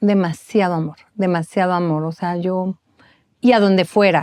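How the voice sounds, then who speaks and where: Speaking with a northern Mexican accent, a woman keeps a medium pitch and fairly even intonation. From northern Mexico. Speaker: bereaved mother and foundation founder. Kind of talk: testimony.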